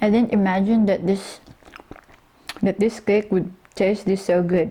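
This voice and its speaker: Noticeable background noise sits behind a woman speaking at a fairly slow pace and medium pitch. Her intonation is monotone and flat, and her loudness very even. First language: Tagalog. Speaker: home cook vlogger. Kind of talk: cooking tutorial. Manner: casual, with hesitations.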